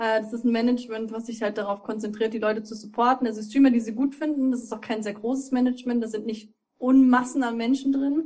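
A woman speaks at a fairly quick pace in a fairly high voice. Her intonation is flat and monotone. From Thuringia, Germany. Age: 20s. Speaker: streamer. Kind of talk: casual chat.

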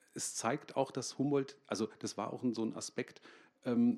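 This man has an ordinary speaking voice at a moderate pace. His pitch varies in an ordinary way. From Germany, Münster. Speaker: comic artist. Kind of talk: comic reading and conversation on stage. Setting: library stage with audience.

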